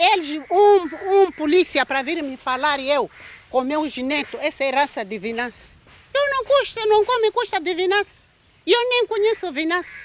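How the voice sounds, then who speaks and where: A woman speaks at an extremely high pitch with very wide pitch swings. Her pace is moderate. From Mozambique. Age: 60s. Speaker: mother of victim, farmer. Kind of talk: emotional testimony.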